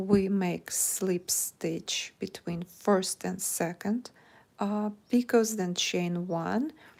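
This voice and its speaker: Speaking with a Russian accent at a very slow pace, a woman uses a medium pitch with ordinary pitch variation. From Ukraine. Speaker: crochet teacher. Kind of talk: live stream chat; tutorial. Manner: halting.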